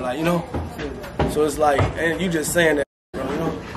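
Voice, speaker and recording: Speaking very fast at a fairly high pitch, a man keeps his intonation fairly even while audible room echo surrounds him. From Chicago, South Side. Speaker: local rapper and neighborhood member. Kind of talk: casual street interview.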